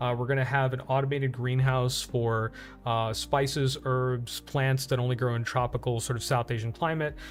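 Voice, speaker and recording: Music plays behind a man speaking at a medium pitch. His intonation is flat and monotone, and his loudness stays very even. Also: moderate pace. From India, Uttar Pradesh. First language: Hindi. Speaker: streamer. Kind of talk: casual live stream talk. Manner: halting, many fillers.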